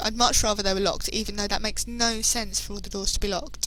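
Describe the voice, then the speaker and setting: Background noise is noticeable while a woman talks. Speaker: let's play gamer. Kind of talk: game playthrough commentary. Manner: playful, joking.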